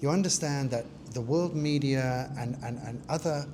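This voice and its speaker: Audible room echo surrounds the man's dark, mellow tone, which is somewhat breathy. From London, England (Hackney). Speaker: research centre founder. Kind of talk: interview.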